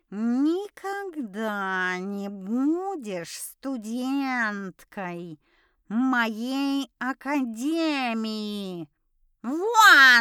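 A woman in a put-on character voice speaks very slowly at a fairly high pitch with very wide pitch swings, on a very clean recording with a silent background. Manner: hissing, furious.

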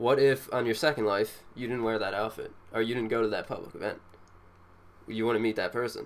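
A man with a normal speaking voice talks at a medium pitch and a fairly quick pace, his intonation fairly even. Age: 20s. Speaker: podcast co-host. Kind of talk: casual chat.

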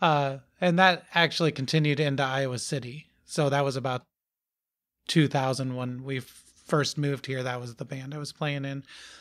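With an ordinary speaking voice, a man talks at a moderate pace in a fairly high pitch with fairly even intonation, recorded very cleanly against a silent background. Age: 40s. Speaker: musician. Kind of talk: casual chat. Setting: recorded at a house.

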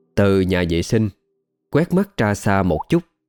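The background is quiet behind plain reading aloud.

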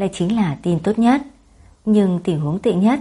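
What's heard is a natural reading voice.

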